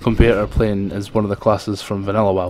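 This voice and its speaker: A man talks at a very fast pace in a fairly low voice. There is noticeable background noise. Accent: strong Scottish. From Scotland. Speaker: gaming video creator. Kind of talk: gameplay commentary. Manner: hesitant, many fillers.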